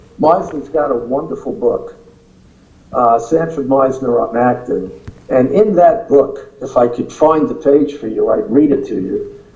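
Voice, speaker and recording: In a room with audible echo, a man with a New York accent speaks at a fairly slow pace. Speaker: acting teacher. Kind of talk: interview.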